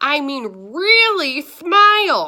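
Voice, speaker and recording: A woman's raised, projected put-on character voice, high in pitch and full of very wide pitch swings. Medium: read story. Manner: mumbling, as if toothless.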